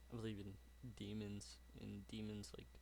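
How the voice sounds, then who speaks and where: Talking at a moderate pace, a man is heard with audible room echo. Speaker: YouTube reactor. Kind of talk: casual chat. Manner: halting, self-correcting.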